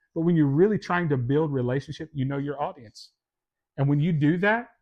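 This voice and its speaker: A man with a Kentucky accent speaks at a very fast pace. His tone is animated. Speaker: sales and leadership teacher. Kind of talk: lecture.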